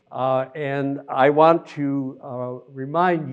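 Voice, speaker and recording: A man with an American accent and a fairly high pitch, ordinary pitch variation, and music in the background. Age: 80s+. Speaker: retired planetarium curator, astronomy speaker. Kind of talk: lecture. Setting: stage with audience.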